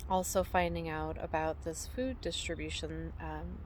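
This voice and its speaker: A woman speaks at a fairly slow pace with a very deep, low pitch and vocal fry. Audible room echo surrounds her voice. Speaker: homesteader and vlogger. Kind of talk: casual vlog monologue. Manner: halting, many fillers.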